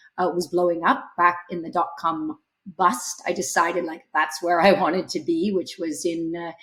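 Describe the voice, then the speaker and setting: With a Canadian accent, a woman speaks in a normal speaking voice at a fairly low pitch, a moderate pace and fairly even intonation. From Canada. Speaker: startup CEO. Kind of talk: podcast interview.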